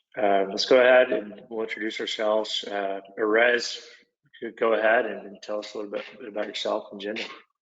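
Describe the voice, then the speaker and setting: A man with an Oklahoma accent, fairly low pitch, monotone, flat intonation, a fairly quick pace and big swings in loudness. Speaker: product manager, former construction superintendent. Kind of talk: webinar presentation. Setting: online webinar.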